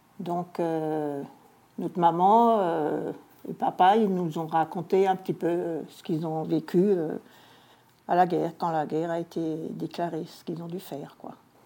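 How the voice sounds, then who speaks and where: With a dark, mellow tone and fairly low pitch, a woman speaks at a moderate pace with fairly even intonation and big swings in loudness, in a very clean recording with a silent background. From Alsace, French-Swiss border. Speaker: local history collector. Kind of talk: interview. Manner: hesitant.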